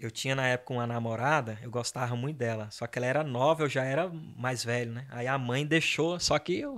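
Over a very clean recording with a silent background, a man speaks with a plain, everyday voice at medium pitch. His pace is fairly quick, his intonation fairly even, and he hardly pauses. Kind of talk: casual chat.

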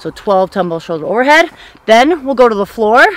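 A woman's voice comes through with a dry sound and no echo. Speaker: fitness coach. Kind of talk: tutorial. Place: open country.

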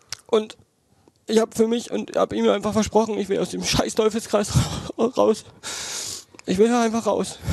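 A man talks at a moderate pace, leaving long, frequent pauses. The sound is dry with no echo, over a quiet background. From Brandenburg, Germany. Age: 20s. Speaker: angling YouTuber; podcast guest. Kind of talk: interview. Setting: outdoor backyard. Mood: earnest, personal confession. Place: home room. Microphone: headset.

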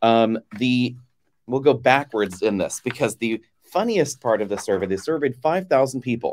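Against a quiet background, a man talks at a moderate pace. His intonation is lively. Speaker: show host. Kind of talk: live show commentary. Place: home room.

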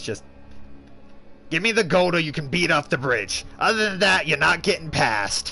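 Against clear background music, a man in a put-on character voice speaks at a fairly high pitch, with long, frequent pauses. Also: moderate pace. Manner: silly.

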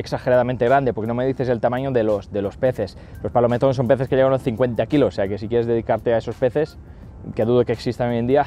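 Over music in the background, a man talks at a very fast pace with fairly even intonation, the sound dry with no echo. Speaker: fishing channel host. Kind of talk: Q&A vlog answers. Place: waterside. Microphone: lapel.

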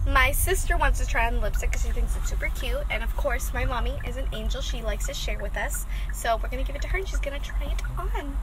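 Over noticeable background noise, a woman talks at a very fast pace with hardly any pauses, and the sound is dry with no echo. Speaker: vlogger. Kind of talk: casual vlog chat. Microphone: phone near.

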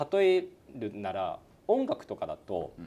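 A man speaks with a dark, mellow tone. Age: 40s. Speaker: company executive; guest. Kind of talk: interview. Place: office.

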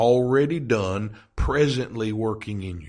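A man with a medium-pitched, somewhat breathy voice speaks with lively intonation against a quiet background. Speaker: podcast host and Bible teacher. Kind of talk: podcast sermon teaching. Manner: whispery. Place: home room.

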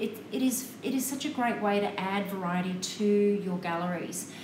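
A woman talks at a very slow pace while noticeable background noise runs underneath. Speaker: photography tutor hosting a live stream. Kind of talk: casual instructional. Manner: chatty, conversational. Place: studio.

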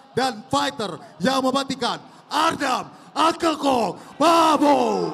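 A man's extremely high-pitched voice amid noticeable background noise. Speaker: ring announcer. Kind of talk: stadium announcer introducing fighters. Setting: stage with live audience. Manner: loud, hyped, crowd-rousing.

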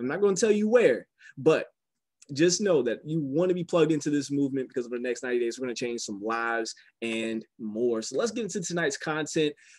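A fairly high-pitched man with an American accent, his pitch swinging very widely at a fairly quick pace over a quiet background. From US South. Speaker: business opportunity presenter. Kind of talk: sales pitch. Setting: phone call. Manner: animated. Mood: smiling, enthusiastic. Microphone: video call.

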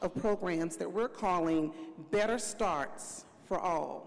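A woman's voice with lively intonation against a quiet background. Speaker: panel moderator. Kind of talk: panel remarks. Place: stage. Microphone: handheld.

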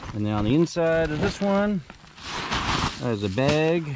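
At a moderate pace, a man speaks with a fairly high pitch and a slightly mellow tone.

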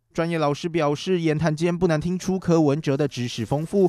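This man has an unremarkable speaking voice with a fairly high pitch. He talks at a fairly quick pace. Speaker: news reporter. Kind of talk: TV news report narration.

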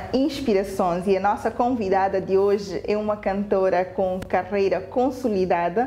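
A woman speaks at a fairly slow pace, her loudness very even and her pitch varying in an ordinary way. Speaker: interviewer host. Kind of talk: interview. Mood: warm, smiling. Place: home room.

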